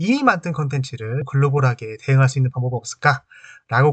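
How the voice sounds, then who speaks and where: At a fairly quick pace, a man with a medium pitch sounds somewhat breathy in a dry, close recording with no echo. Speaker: HR training YouTuber. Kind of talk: tutorial. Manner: pauses mid-sentence; casual, filler-heavy.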